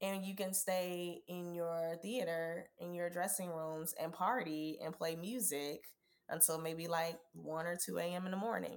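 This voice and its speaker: A woman speaks with an American accent in an unremarkable speaking voice, her pitch fairly low. Her pace is fairly slow and her intonation fairly even. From US South, Georgia (Savannah and Atlanta). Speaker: Broadway performer. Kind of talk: casual chat.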